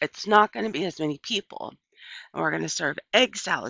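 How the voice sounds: Set against a quiet background, the clip features a natural reading voice.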